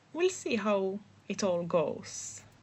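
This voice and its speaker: The voice carries a non-native accent and is somewhat breathy. Its pitch swings very widely. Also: woman. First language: not English. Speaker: vlogger and aspiring writer. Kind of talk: casual voiceover vlog. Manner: hesitant, many fillers and restarts.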